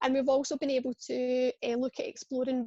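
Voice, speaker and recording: A woman with a Scottish accent talks at a high pitch and a moderate pace. The sound is dry and close, with no echo. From Scotland. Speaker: pain service clinician. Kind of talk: webinar presentation. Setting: online webinar.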